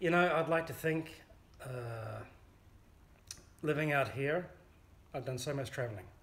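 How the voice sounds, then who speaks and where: With a New Zealand accent, a man talks at a fairly slow pace and fairly high pitch, with ordinary pitch variation, long, frequent pauses and audible room echo. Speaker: amateur folk songwriter. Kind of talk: interview. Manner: hesitant, with fillers.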